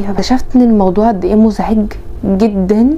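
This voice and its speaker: Fairly quickly and with an Egyptian accent, a woman speaks at a fairly high pitch with ordinary pitch variation, amid audible room echo and noticeable background noise. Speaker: lifestyle vlogger. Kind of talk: casual vlog advice talk.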